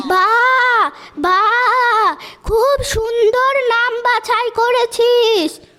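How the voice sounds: A cartoonish character voice with a bright, sharp tone. It moves at a very slow pace with fairly even intonation. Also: woman, extremely high pitch for a woman.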